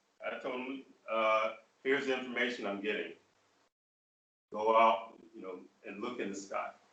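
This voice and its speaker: In an American accent, a man speaks at a moderate pace with fairly even intonation and a bright, sharp tone. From US Midwest (rural Michigan). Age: 60s. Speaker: spiritual leader. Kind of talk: online Q&A forum talk.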